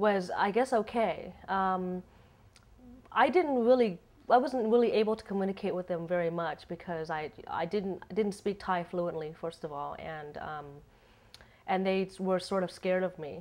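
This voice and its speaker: Speaking at a moderate pace, a woman with a slight Asian accent has a medium pitch, ordinary pitch variation, and big swings in loudness. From United States. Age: 30s. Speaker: interviewee, expat. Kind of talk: interview. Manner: halting, many repeats and fillers.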